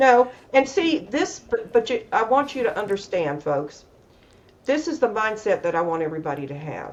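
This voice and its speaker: With an American accent, a woman speaks at a fairly high pitch with vocal fry. Her pitch swings very widely. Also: moderate pace. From US South (Atlanta, Georgia). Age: 70s. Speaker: emotional wellness coach. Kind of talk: casual interview chat.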